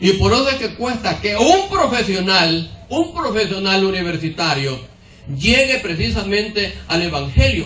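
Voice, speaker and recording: A man talks at a fairly slow pace and high pitch with very wide pitch swings, amid noticeable background noise and audible room echo. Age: 70s. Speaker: preacher. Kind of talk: sermon. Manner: repetitive, rhetorical questions to audience.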